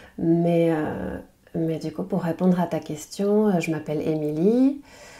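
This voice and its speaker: At a very slow pace, a woman with a fairly low pitch talks with ordinary pitch variation. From French Basque Country. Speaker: French language teacher and podcaster. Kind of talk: podcast interview. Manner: hesitant, many fillers.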